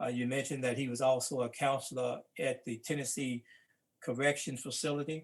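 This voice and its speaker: Speaking with a Mississippi accent, a man talks at a moderate pace and medium pitch in a monotone, flat intonation. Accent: Mississippi Southern US. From US South. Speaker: civil rights veteran and book co-editor. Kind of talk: panel talk. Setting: live-streamed talk.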